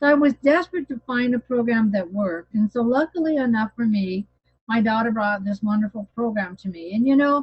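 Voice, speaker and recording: Somewhat breathy and fairly high, a woman's voice moves at a fairly quick pace with lively intonation. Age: 60s. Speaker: health program success story speaker. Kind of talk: testimony. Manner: animated.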